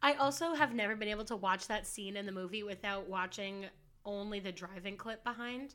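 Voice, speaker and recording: Her tone bright and sharp, a woman speaks fairly quickly at a medium pitch with ordinary pitch variation. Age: 20s. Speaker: podcast co-host. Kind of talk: casual chat.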